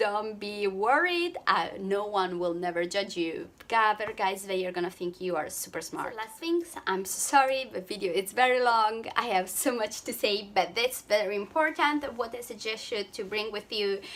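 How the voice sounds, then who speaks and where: A woman with an Italian accent talks at medium pitch and a moderate pace with hardly any pauses, over noticeable background noise. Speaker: travel vlogger. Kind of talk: vlog tutorial. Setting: hotel room. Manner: halting, with fillers.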